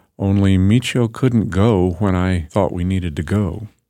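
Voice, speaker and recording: A man's very deep, low pitch in a dark, mellow tone, ordinary pitch variation and a moderate pace on a very clean recording with a silent background. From Alaska (Anchorage). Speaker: storyteller, wilderness guide and photographer. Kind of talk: personal storytelling.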